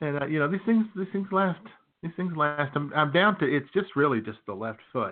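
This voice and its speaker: Lively intonation colors speech delivered at a moderate speed. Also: man. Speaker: podcast co-host. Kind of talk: casual comedic banter. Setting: live broadcast from a beach bar. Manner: animated.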